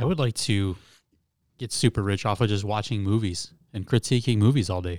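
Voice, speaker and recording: In a very clean recording with a silent background, a man with a normal speaking voice talks at a fairly quick pace, fairly low in pitch with ordinary pitch variation. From Metro Detroit, Michigan. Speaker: podcast guest. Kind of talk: casual chat.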